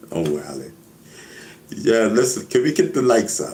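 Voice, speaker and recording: With a New York accent, a man talks at a moderate pace in an animated tone, with audible room echo. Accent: New York Bronx. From New York, the Bronx (Castle Hill). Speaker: hip hop veteran, live streamer. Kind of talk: casual live stream chat. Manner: loud.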